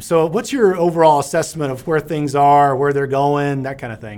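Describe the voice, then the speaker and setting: On a very clean recording with a silent background, a man speaks at a moderate pace in an ordinary speaking voice with ordinary pitch variation. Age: 50s. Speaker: podcast host. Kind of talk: scripted outro; casual interview.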